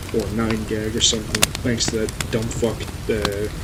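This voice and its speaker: A man speaks at a moderate pace amid noticeable background noise and audible room echo. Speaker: podcast host. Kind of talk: solo casual podcast monologue. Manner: halting, many fillers; stutters.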